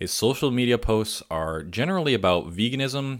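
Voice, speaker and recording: A man with an American accent speaks at a fairly quick pace in an ordinary speaking voice. His intonation is lively, and the recording is very clean with a silent background. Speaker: podcaster and vegan content creator. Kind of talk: casual interview chat.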